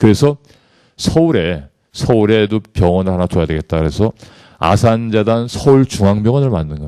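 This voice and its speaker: Using lively intonation, a man talks at a moderate pace in a fairly low pitch with a dark, mellow tone, the sound dry and close with no echo. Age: 50s. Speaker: corporate executive giving leadership lecture. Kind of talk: lecture. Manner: formal.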